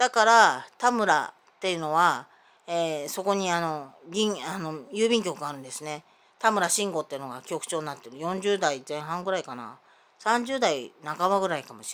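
A woman with very wide pitch swings and big swings in loudness. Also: fairly low pitch for a woman, moderate pace. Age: 50s. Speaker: vlogger; self-filming vlogger with grievances. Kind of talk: personal monologue vlog. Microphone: phone near.

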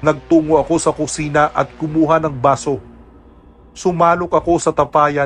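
Over music in the background, a man speaks at a fairly high pitch and a moderate pace. His tone is dramatic, yet his intonation stays monotone and flat. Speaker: voice actor narrator. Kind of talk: scripted horror narration of a listener's first-person aswang story, told in Tagalog. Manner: hushed, suspenseful, steady storytelling pace that builds tension; dramatic and somber, with grave emphasis on frightening moments.

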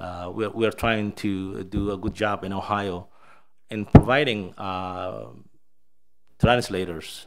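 Over light background noise, a man with a Somali accent speaks at a fairly low pitch with fairly even intonation. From Somalia. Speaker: state education official; presenter. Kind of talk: presentation. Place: hall. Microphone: podium.

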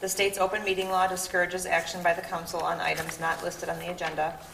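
Over light background noise and audible room echo, a woman speaks at a very fast pace. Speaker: city clerk. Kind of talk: reading aloud of resolutions. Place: meeting room. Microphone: podium.

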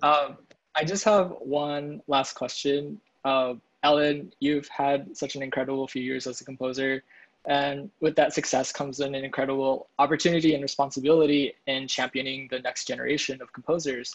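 Over a quiet background, a man with an ordinary speaking voice and a fairly high pitch talks at a moderate pace with fairly even intonation. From US Midwest, Kansas City; Missouri. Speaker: composer; composer in panel discussion. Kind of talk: casual chat. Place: home room. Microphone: earbuds.

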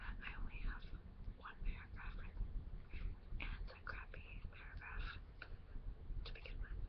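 Moderate pace from a female speaker. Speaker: ASMR creator. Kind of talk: ASMR whisper video, casual chat. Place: home room. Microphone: webcam.

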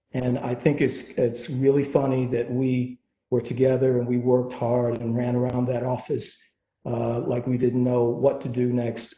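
Speaking with an American accent, a man has a somewhat breathy voice of medium pitch. He keeps a moderate pace. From US Midwest. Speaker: sports business executive. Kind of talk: guest lecture. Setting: video call.

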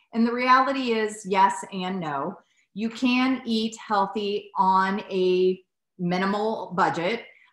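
Spoken at a very slow pace in an American accent, the voice carries an audible room echo over a quiet background. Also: woman. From United States. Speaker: podcast host, dietitian; podcast host. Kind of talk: casual chat. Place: home room. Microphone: lapel.

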